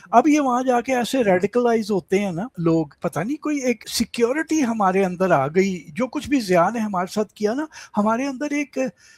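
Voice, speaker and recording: A man speaks at a high pitch with lively intonation and hardly any pauses, in a dry, close sound with no echo. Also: very clean recording, silent background. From Pakistan, Lahore (Punjab). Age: 70s. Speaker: writer and commentator on Pakistan. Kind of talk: interview.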